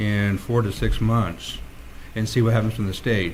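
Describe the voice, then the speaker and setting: Monotone, flat intonation from a man, with audible room echo. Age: 60s. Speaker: city council member. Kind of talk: council meeting debate. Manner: halting.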